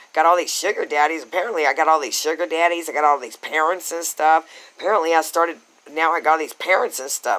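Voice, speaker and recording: Loud and very fast, a man's voice comes through. It is fairly high in pitch, with a bright, sharp tone. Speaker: vlogger. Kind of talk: rant. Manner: animated.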